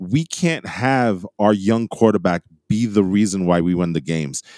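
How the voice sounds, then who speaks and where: With an American accent, a man speaks in a fairly low, dark, mellow voice with ordinary pitch variation at a fairly slow pace. The sound is dry and close with no echo, on a very clean recording with a silent background. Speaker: podcast host. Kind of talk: casual chat.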